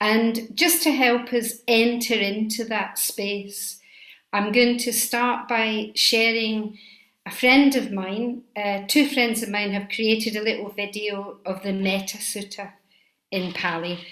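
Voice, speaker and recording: A woman speaks with a Scottish accent at a fairly high pitch. Her pace is very slow. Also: fairly even intonation. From Scotland. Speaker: Buddhist teacher. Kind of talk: dharma talk.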